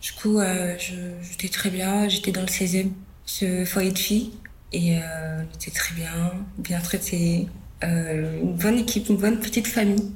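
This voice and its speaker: Very slow female speech at a medium pitch, with fairly even intonation, long, frequent pauses and audible room echo. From Ivory Coast, then France from age 11. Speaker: model living in youth workers' hostel. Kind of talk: personal testimony interview. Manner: casual, hesitant with many fillers.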